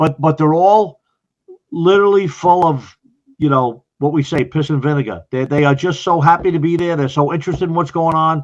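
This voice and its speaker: A man with an American accent, a fairly high pitch, fairly even intonation and a fairly quick pace. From US Northeast, Long Island, New York. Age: 60s. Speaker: retired fire chief. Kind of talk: podcast interview.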